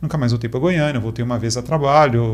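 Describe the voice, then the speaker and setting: A man talks at a very fast pace in a somewhat breathy voice with ordinary pitch variation. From Brazil, mostly Minas Gerais and central states. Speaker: technology executive. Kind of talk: casual interview chat.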